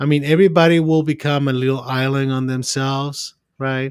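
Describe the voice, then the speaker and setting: A man with a non-native accent speaks fairly slowly at a fairly high pitch. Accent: foreign. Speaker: psychiatrist. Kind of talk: podcast discussion. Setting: remote call from his office. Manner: halting, repeats words.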